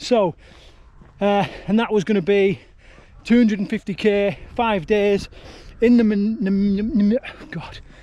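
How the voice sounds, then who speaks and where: In a Yorkshire accent, a man speaks with a high pitch and a dark, mellow tone. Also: long, frequent pauses. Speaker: ultrarunner vlogger. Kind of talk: casual vlog talk. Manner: casual, halting.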